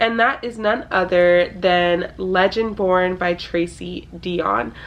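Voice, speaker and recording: Talking very slowly, a woman keeps a medium pitch with ordinary variation. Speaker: book youtuber. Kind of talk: casual book talk to camera.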